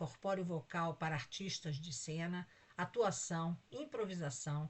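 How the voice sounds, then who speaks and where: Somewhat breathy, a woman speaks with a fairly low pitch. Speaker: conference organizing committee president. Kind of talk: formal introduction of a speaker. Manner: reading a prepared bio.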